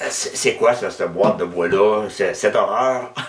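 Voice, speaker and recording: A man speaks at a very slow pace with a Quebec accent. Noticeable background noise is present. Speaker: woodturner. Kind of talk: tutorial. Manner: halting.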